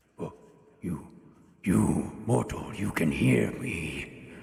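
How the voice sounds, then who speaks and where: Whispering very slowly in a raspy put-on character voice, a man speaks with a slight echo. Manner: whispering, eerie.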